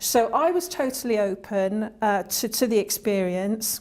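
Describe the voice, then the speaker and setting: On a very clean recording with a silent background, a woman in a British accent speaks at a fairly high pitch with ordinary pitch variation. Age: 60s. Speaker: employment support client. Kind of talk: interview testimony. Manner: halting.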